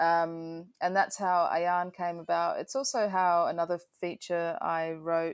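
A woman speaks at a very slow pace with an Australian accent and a fairly low pitch. The recording is very clean, with a silent background. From Adelaide, South Australia. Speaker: filmmaker and composer. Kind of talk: interview. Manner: hesitant with many fillers.

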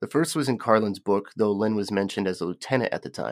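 An ordinary speaking voice with ordinary pitch variation. The recording is very clean and dry, close-miked with no echo and a silent background. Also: man. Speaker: podcast host. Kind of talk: history documentary narration, read from a script. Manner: formal, measured, even-paced; steady, informative, serious in tone.

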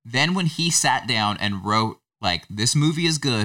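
On a very clean recording with a silent background, a man talks at a fairly slow pace with lively intonation and a bright, sharp tone. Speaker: podcast co-host. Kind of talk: casual chat.

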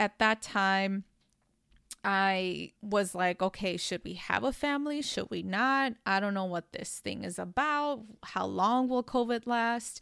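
A woman talks at a fairly slow pace with medium pitch and ordinary pitch variation. The recording is very clean, with a silent background and a dry, close sound with no echo. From US Midwest, Chicago. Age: 30s. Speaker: podcast host, mother. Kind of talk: solo monologue podcast.

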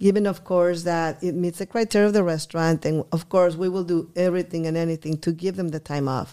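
A woman with a Spanish accent talks fairly quickly at a fairly low pitch, with a dark, mellow tone and fairly even intonation. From Guadalajara, Mexico; teen years in Texas border town. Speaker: restaurant owner. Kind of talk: interview.

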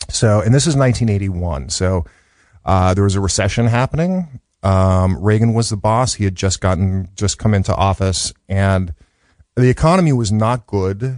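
A man's fairly low voice with an American accent, an ordinary speaking voice at a moderate pace with very even loudness and ordinary pitch variation, over a quiet background. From Chicago, South Side. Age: 50s. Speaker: educator and radio producer. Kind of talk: interview. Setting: studio.

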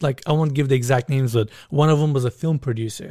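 A man speaks fairly quickly with a Turkish accent and fairly even intonation. The sound is dry and close with no echo, on a very clean recording with a silent background. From Turkey. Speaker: YouTuber touring luxury homes. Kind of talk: casual chat.

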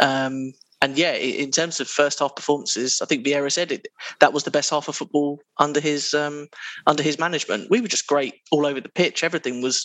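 Here a man talks at a fairly high pitch. He keeps a fairly quick pace and fairly even intonation. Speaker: podcast panelist, football fan. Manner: hesitant, many filler words.

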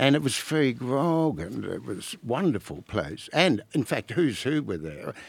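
A man's medium-pitched voice with an Australian accent, fairly slow yet with hardly any pauses, full of very wide pitch swings, in a very clean recording with a silent background. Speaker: former barrister and author. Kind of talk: casual chat.

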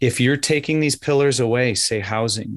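A man with an American accent has a plain, everyday voice at a medium pitch. His intonation is fairly even, and the background is quiet. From Wisconsin. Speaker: nonprofit director and podcast host. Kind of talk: radio interview.

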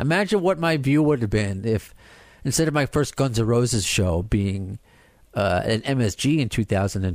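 A man with a normal speaking voice, medium in pitch, at a fairly quick pace with lively intonation. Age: 30s. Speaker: podcast host. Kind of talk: casual chat.

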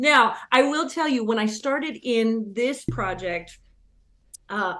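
A woman with a fairly high pitch and an American accent, very slow pace and lively intonation. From Northern California. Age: 40s. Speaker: fiddle player. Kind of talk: radio interview.

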